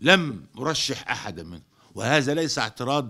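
Against a quiet background, a man with a fairly high pitch and a bright, sharp tone talks at a fairly slow pace with lively intonation. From Egypt. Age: 80s+. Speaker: head of a lawyers' association; head of a lawyers' union. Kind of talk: public statement. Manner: formal; halting. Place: office. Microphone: studio mic.

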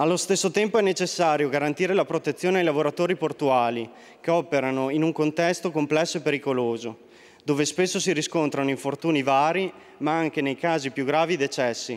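Fairly quick and fairly high-pitched, a man speaks with ordinary pitch variation. His loudness stays very even. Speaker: member of parliament. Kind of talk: parliamentary oratory, political statement; parliamentary speech. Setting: parliament chamber. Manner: formal, reading prepared text. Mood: solemn, condolent. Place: hall. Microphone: podium.

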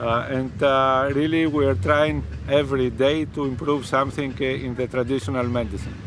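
With noticeable background noise but a dry sound and no echo, a man talks at a moderate pace in a medium pitch with ordinary pitch variation. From Greece. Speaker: professor and medical researcher; professor. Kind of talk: interview. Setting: outdoors. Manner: halting, many fillers. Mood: relaxed, explanatory. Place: beach. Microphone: phone near.

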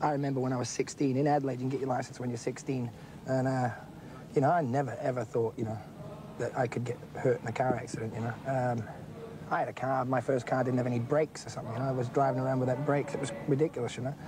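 Amid noticeable background noise, a man talks at a very fast pace in a flat monotone, the sound dry with no echo. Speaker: interviewee. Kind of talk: interview answer.

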